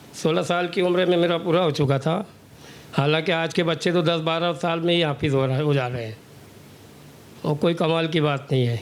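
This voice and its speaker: At a moderate pace, a man talks in an ordinary speaking voice, fairly high in pitch with fairly even intonation. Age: 60s. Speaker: hafiz, powerloom worker. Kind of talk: interview.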